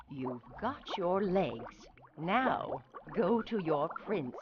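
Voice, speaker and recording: A woman's put-on character voice, fairly low, very slow, with very wide pitch swings. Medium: read story. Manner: cackling, menacing.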